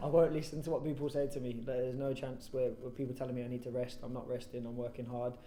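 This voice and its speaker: Delivered at a very fast pace with a West Midlands accent, the speech carries noticeable background noise and audible room echo. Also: man. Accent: Coventry English. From English Midlands, Coventry. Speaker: professional footballer. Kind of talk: post-match style interview. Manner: loud.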